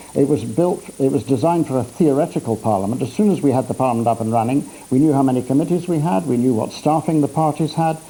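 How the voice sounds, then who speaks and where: Here a man has an ordinary speaking voice. He talks at a fairly quick pace. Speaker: politician interviewed on a news programme. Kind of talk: TV news interview answer.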